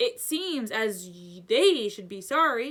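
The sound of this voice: A woman's put-on character voice, fairly high in pitch and fairly bright in tone, with big pitch swings and a slow pace.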